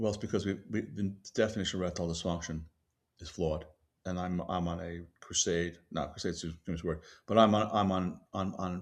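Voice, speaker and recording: On a very clean recording with a silent background, a man with a very deep, low pitch speaks at a moderate pace in fairly even intonation. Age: 70s. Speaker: physician and company CEO. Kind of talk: interview. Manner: halting, many restarts and fillers.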